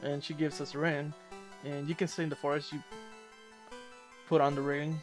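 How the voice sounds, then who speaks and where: Over music in the background, a man mumbles at a moderate pace. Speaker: gamer doing let's play commentary. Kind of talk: video game walkthrough commentary. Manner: mumbling, slurring, long pauses.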